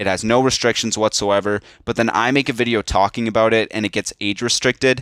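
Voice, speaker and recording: In a very clean recording with a silent background and a dry, close sound with no echo, a man speaks very fast at a medium pitch in a monotone, flat intonation. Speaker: YouTube commentator. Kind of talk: rant video.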